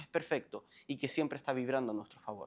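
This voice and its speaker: With lively intonation, a man rattles along at a very fast pace in a quiet background. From Canary Islands, Lanzarote. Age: 20s. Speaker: self-help coach. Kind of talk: motivational monologue.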